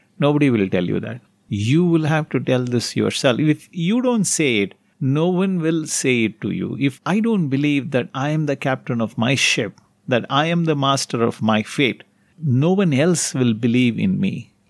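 Lively in intonation and fairly high in pitch, a man with an Indian accent speaks at a moderate pace on a very clean recording with a silent background. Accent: Indian English (Tamil). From Tamil Nadu, India. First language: Tamil. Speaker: meditation teacher / spiritual guru. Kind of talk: guided talk / evening meditation session.

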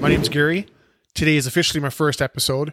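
Recorded dry and close with no echo, a man speaks at a fairly high pitch with a western Canadian accent. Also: very clean recording, silent background. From western Canada (British Columbia, Alberta). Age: 40s. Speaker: podcast host. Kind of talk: casual monologue introduction. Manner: hesitant, with fillers.

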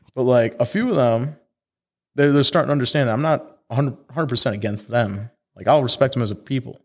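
A man with a Chicago accent talks at a fairly quick pace. The recording is very clean, with a silent background. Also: medium pitch for a man, ordinary pitch variation. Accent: Chicago American English. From Chicago suburbs, US Midwest. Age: 20s. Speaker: car club founder. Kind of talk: casual chat.

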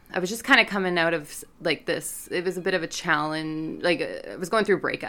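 An ordinary speaking voice belongs to a woman with a Canadian accent and a fairly low pitch. She talks at a fairly quick pace with hardly any pauses and ordinary pitch variation. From Canada. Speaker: recovering alcoholic, online meeting organizer. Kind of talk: casual chat.

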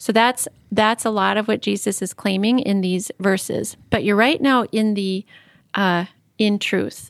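A woman with a plain, everyday voice speaks at a fairly slow pace with fairly even intonation. The recording is very clean and dry, close with no echo and a silent background. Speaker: seminary teacher guest. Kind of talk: explanatory discussion of scripture.

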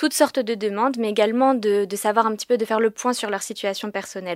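A woman talks at a fairly quick pace with fairly even intonation and a fairly high pitch. It is a plain, everyday voice. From France, Paris. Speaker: government agency regional manager. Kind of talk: informational interview.

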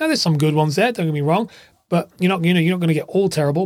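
Using ordinary pitch variation, a man speaks at a fairly high pitch. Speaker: podcast host. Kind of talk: solo podcast monologue, angry rant. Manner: indignant, heated, accusatory tone; sarcastic, calling out corporate excuses.

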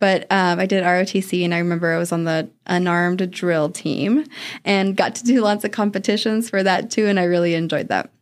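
In an American accent, a woman with a normal speaking voice talks at a medium pitch and moderate pace with ordinary pitch variation. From Arizona, with childhood in Oregon (ages 5-15). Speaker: HR specialist. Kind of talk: interview.

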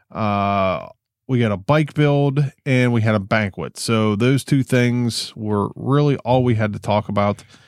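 On a very clean recording with a silent background, a man in a normal speaking voice goes at a fairly slow pace with ordinary pitch variation and very even loudness. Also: medium pitch for a man, dry, close sound with no echo. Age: 40s. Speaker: podcast host, amateur racer. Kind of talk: casual chat. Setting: home basement.

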